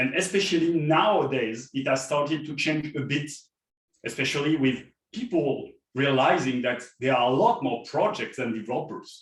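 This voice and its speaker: Speaking at a moderate pace with a French accent, a man uses a fairly high pitch and lively intonation. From France. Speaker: software developer advocate, keynote speaker. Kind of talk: conference keynote talk.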